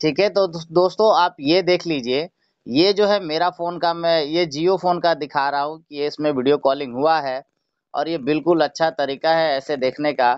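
Over a quiet background, a man talks at a fairly slow pace with ordinary pitch variation in a dry sound with no echo. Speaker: tech channel host. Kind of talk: tutorial. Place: home room. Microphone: phone near.

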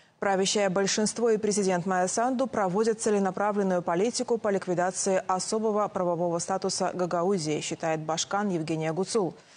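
A normal speaking voice at a fairly quick pace, with very even loudness, hardly any pauses and fairly even intonation. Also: woman, medium pitch for a woman. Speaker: news anchor. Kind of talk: news reading. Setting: studio. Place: studio. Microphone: lapel.

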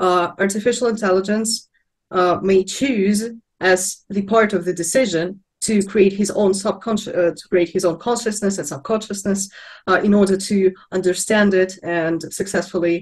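A woman with a Russian accent speaks at a moderate pace and a medium pitch, a bit breathy. Her intonation is fairly even, with a quiet background. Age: young. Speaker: philosophy student. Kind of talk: panel discussion. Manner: halting, many fillers. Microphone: video call.

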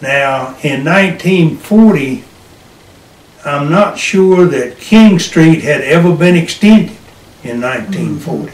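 A man with a high pitch speaks at a very slow pace, with audible room echo around him. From Hillsborough, North Carolina. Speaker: World War II Navy veteran, retired farmer. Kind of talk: interview answer. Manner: hesitant, searching for words. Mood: relaxed reminiscing. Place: home room. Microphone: camera far.

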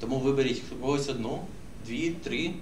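A man talks at a fairly quick pace while noticeable background noise sits behind him. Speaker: social media marketer. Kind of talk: workshop discussion. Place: meeting room. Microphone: camera far.

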